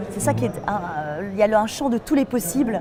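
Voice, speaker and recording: Noticeable background noise fills the clip. Over it, a woman talks at a fairly high pitch. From western France, Nantes. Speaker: voice actress. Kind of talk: interview. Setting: film festival.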